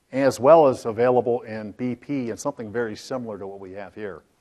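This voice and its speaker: Talking at a fairly quick pace, a man keeps a medium pitch with ordinary pitch variation. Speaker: software product presenter. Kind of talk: conference demo presentation. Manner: fast; halting.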